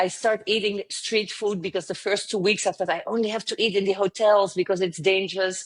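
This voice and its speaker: A woman with a French accent talks at a fairly quick pace with hardly any pauses, her medium-pitched voice flat and monotone. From southern France. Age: 50s. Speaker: travel company founder. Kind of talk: interview.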